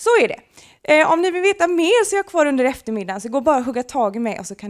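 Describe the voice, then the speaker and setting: Against a quiet background, a woman with a Gothenburg accent talks at a very fast pace, her pitch swinging very widely. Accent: Gothenburg west coast dialect. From western Sweden, Gothenburg; Sweden. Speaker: project presenter; presenter. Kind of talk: short presentation to an audience. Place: meeting room. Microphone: handheld.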